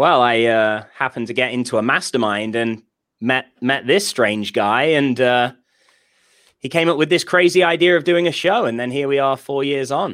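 A man speaks with a British accent at a moderate pace. His medium-pitched voice comes through a very clean recording with a silent background. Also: ordinary pitch variation. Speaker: podcast co-host. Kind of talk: casual chat.

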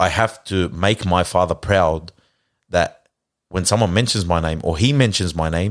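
A man's very deep, low voice in an Australian accent, at a moderate pace with ordinary pitch variation, in a very clean recording with a silent background. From Australia and Lebanon. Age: 30s. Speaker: car preparation worker and community reciter. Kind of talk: casual interview. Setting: studio.

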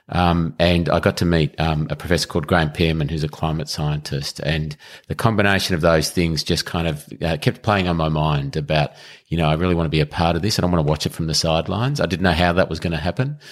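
A man's very deep, low voice with an Australian accent, very fast in pace, with fairly even intonation. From Melbourne, Australia. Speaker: public sector chief executive. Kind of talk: interview. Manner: halting.

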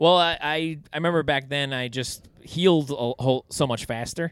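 A man talks at a fairly quick pace in a normal speaking voice with ordinary pitch variation. The sound is dry and close, without echo. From New York City, Staten Island. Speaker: comedian. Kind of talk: casual chat.

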